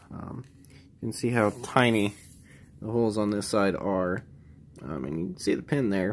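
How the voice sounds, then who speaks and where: This man's pitch is fairly low and his intonation lively. He speaks at a fairly slow pace. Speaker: military veteran; gunsmithing student. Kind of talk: casual project walkthrough to camera. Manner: hesitant, many filler words.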